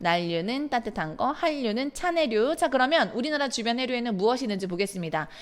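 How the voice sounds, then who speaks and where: A woman's high-pitched voice, very wide pitch swings, a very fast pace and hardly any pauses. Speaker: middle school science teacher. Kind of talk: lecture. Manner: stumbling over pronunciation.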